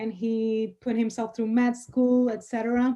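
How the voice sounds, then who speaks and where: Against a quiet background, a woman with a Spanish accent talks at a moderate pace in a dark, mellow tone. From Dominican Republic. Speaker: attorney. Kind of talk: interview. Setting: podcast studio.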